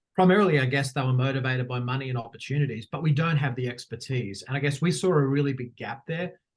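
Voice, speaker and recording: Somewhat breathy and in an Australian accent, the speaker goes very fast with hardly any pauses and ordinary pitch variation. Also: man, medium pitch for a man. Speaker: education consultant, former head of school. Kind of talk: podcast interview.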